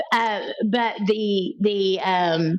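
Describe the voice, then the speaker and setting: Noticeable background noise sits behind a woman whose voice has a fairly high pitch. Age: 60s. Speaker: trauma therapist and abuse survivor. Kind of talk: interview testimony. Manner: halting.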